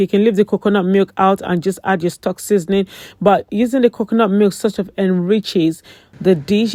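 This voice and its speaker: A woman speaks at a fairly quick pace in a dark, mellow tone with fairly even intonation, the sound dry and close with no echo. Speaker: cooking channel host. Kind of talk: cooking tutorial. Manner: fast.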